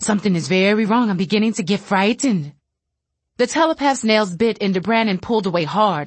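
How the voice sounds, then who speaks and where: At a moderate pace, a woman speaks in a somewhat breathy, medium-pitched voice with lively intonation. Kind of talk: literary audiobook reading of fiction, dramatic and suspenseful, voicing characters. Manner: animated, expressive, shifting voices for frightened characters.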